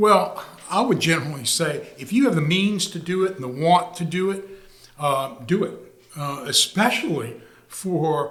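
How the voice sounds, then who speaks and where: At a moderate pace, a man talks with a high pitch and lively intonation, with audible room echo and noticeable background noise. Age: 70s. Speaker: retired real estate executive, market analyst. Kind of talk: podcast interview. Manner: halting.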